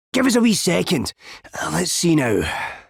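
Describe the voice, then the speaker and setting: The speaker uses a put-on character voice with a raspy quality. The pace is moderate. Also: man, high pitch for a man. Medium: video game. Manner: excitable, stammering.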